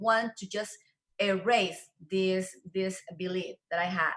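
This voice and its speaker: At a fairly slow pace, a woman talks in a medium pitch with ordinary pitch variation. She has a Spanish accent. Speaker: real estate show host and interpreter. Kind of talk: interview with live interpretation.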